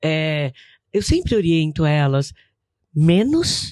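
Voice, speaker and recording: A woman with a very deep, low pitch. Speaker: businesswoman. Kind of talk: podcast interview. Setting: studio.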